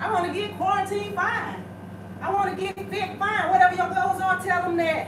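Over loud background noise and with audible room echo, a woman speaks at a moderate pace. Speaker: home workout host. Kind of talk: casual fitness advice to viewers. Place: gym. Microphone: camera far.

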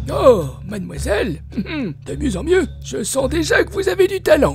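Someone performs a cartoonish character voice at a moderate pace, with clear background noise behind it. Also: man. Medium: puppet. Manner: flirtatious, theatrical.

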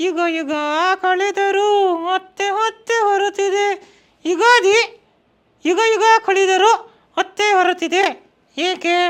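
A man puts on a character voice at an extremely high pitch, speaking very slowly.

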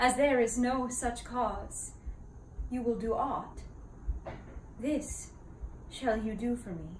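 Very slow speech with audible room echo and light background noise. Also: woman. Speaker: actor performing a classical role. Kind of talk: dramatic monologue. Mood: earnest, sorrowful. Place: home room. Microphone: camera far.

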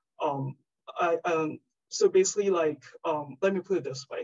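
A woman with a Chinese accent talks at a moderate pace and fairly low pitch. The background is quiet. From China. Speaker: research scientist. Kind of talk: lecture; Q&A answer. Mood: friendly, thoughtful. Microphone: video call.

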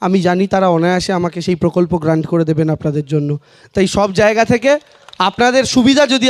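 A man speaks in an animated tone. Noticeable background noise is present. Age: 20s. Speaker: political candidate. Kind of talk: campaign rally speech.

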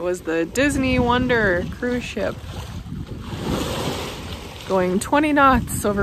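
Despite noticeable background noise, the woman's fairly slow speech comes through dry, with no echo. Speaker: sailor vlogger. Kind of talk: casual vlog chat. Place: boat. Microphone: phone near.

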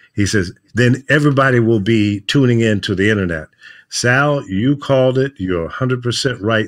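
A man talks at a fairly quick pace with lively intonation. The background is quiet. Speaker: veteran radio program director. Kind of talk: casual interview chat. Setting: remote video call from home studio. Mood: nostalgic, animated. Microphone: video call.

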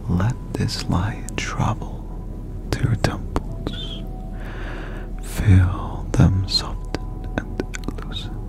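The speech comes at a very slow pace with long, frequent pauses. Clear music plays in the background, and the sound is dry with no echo. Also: man. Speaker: ASMR relaxation guide. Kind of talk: guided relaxation, body scan. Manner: soft intimate near-whisper. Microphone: studio mic.

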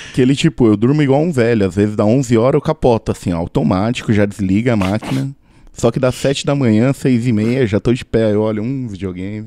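A man speaks in a dark, mellow tone at medium pitch and a fairly quick pace, with ordinary pitch variation. The sound is dry and close, with no echo. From Brazil, São Paulo. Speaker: podcaster. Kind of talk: casual chat.

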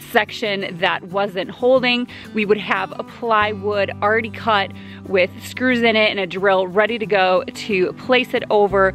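The delivery comes at a fairly slow pace with fairly even intonation. The sound is dry with no echo, and faint music plays in the background. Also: woman. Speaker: DIY home builder vlogger. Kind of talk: casual vlog chat. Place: open country. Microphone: phone near.

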